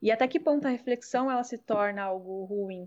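In an ordinary speaking voice, a woman talks at a moderate pace with a fairly high pitch and ordinary pitch variation over a quiet background. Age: 20s. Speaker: psychoanalyst. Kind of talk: casual chat.

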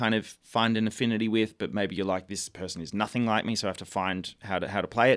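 Speaking at a very fast pace with fairly even intonation, a man with an Australian accent is heard on a very clean recording with a silent background. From Australia, Melbourne. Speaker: musical theatre actor. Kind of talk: radio interview.

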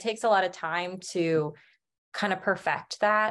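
An unremarkable speaking voice with ordinary pitch variation over a quiet background. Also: woman. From US Midwest, Branson, Missouri. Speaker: singer-songwriter. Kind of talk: casual interview.

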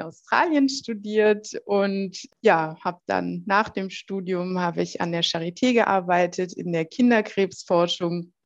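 A woman's plain, everyday voice, medium in pitch, with ordinary pitch variation and a fairly slow pace, in a quiet background. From southern Germany, Heilbronn. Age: 40s. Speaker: health coach for a metabolic disorder. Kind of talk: interview podcast.

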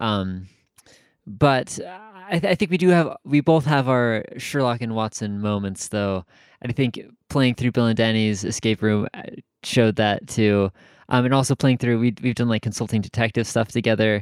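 Recorded very cleanly with a silent background and a dry, close sound with no echo, a man with an American accent has a plain, everyday voice, medium pitch, ordinary pitch variation and a moderate pace. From Michigan. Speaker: podcast co-host. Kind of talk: casual chat.

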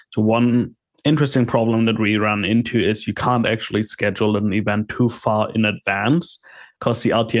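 A man speaks at a moderate pace with fairly even intonation and a fairly low pitch. He has a plain, everyday voice. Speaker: panelist. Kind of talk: casual chat. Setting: video call.

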